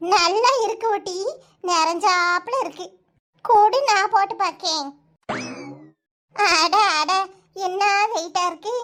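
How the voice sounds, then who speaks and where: A cartoonish character voice from a woman, extremely high in pitch, at a very slow pace. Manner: blunt, bossy, colloquial.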